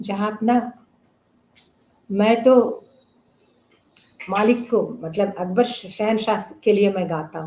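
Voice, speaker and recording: With a non-native accent and a fairly high pitch, a woman speaks with long, frequent pauses, big swings in loudness and ordinary pitch variation. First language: not Hindi (speaking Hindi). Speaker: classical vocalist. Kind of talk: interview. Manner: halting.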